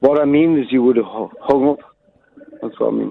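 A man's put-on character voice, mumbling, fairly high in pitch, at a moderate pace

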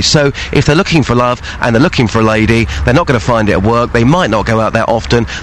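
A man speaks at a very fast pace and medium pitch, his intonation lively. Noticeable background noise is present. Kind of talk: casual radio chat. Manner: animated, jokey.

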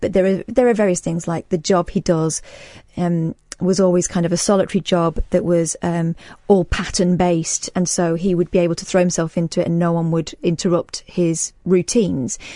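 A woman's fairly low voice, dark and mellow in tone, at a moderate pace, with a dry, close sound and no echo. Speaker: radio host. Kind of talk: late-night talk radio chat. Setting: radio studio.

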